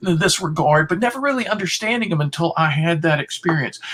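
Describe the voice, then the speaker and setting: At a fairly quick pace, a high-pitched man speaks with ordinary pitch variation over noticeable background noise. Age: 60s. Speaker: philosopher and author. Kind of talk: interview.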